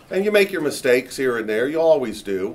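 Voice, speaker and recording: Using an ordinary speaking voice, a man talks at a moderate pace with a fairly high pitch. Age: 60s. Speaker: real estate company founder, panel moderator. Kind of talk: panel discussion talk.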